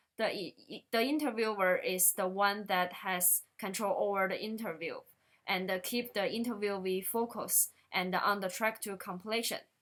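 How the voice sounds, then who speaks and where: A woman at a fairly slow pace, medium in pitch with ordinary pitch variation. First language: not English. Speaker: student. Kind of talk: class presentation.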